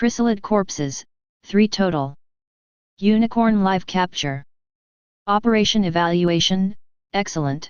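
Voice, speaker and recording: At a fairly slow pace, a woman uses a put-on character voice at a medium pitch. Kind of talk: military debriefing. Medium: read story. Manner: flat, clipped.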